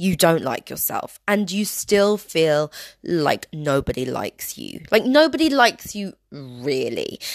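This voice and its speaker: A woman with a British accent talks at a fairly slow pace, with hardly any pauses, at a medium pitch. Her animated tone has very wide pitch swings and big swings in loudness, on a very clean recording with a silent background. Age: 30s. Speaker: podcast host. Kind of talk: personal monologue.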